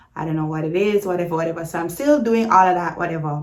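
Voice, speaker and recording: A fairly low female voice in a Jamaican accent, with ordinary pitch variation. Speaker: YouTuber. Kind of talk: storytime vlog. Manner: casual, animated.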